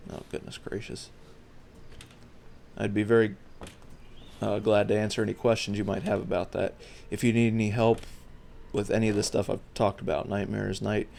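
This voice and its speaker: Talking at a fairly quick pace, a man leaves long, frequent pauses. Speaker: gaming youtuber. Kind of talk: casual video commentary. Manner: monotone; halting, repetitive.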